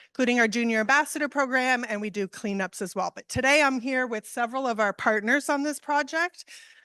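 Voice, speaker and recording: Loud and bright with a sharp tone, this voice shows ordinary pitch variation over a quiet background, captured with a dry, close sound and no echo. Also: woman. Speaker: panel moderator. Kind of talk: conference panel introduction.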